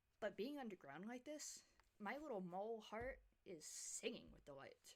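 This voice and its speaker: A woman's fairly high voice with very wide pitch swings, big swings in loudness, vocal fry and a moderate pace. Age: older than twenty. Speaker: gaming youtuber. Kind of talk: gameplay commentary.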